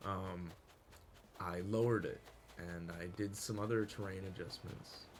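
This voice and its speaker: Mumbling speech at a fairly slow pace with monotone, flat intonation, audible room echo and music in the background. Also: man. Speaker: gaming YouTuber. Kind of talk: gameplay commentary. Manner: halting, many fillers.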